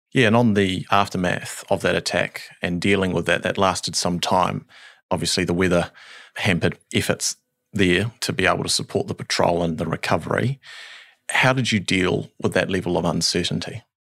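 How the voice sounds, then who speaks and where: With a New Zealand accent, a man talks at a moderate pace in a very deep, low pitch and ordinary pitch variation, on a very clean recording with a silent background. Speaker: podcast host. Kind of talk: interview.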